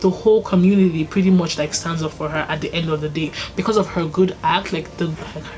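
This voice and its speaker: Over music in the background, a woman talks fairly quickly at a medium pitch. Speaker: YouTuber. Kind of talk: casual vlog recommendation talk. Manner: fast.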